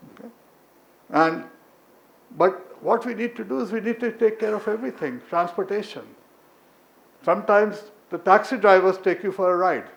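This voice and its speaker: A man speaks at a moderate pace in a high pitch with ordinary pitch variation. His pauses are long and frequent, and his loudness swings widely. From India. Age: 70s. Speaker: professor. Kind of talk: conference talk and Q&A.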